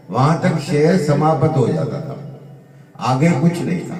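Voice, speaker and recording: Pitched fairly high, a man's voice comes through with audible room echo and noticeable background noise. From India, Gandhidham, Kutch (Gujarat), Sindhi community. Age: 70s. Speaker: pandit sharing life memories. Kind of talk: personal reminiscence monologue.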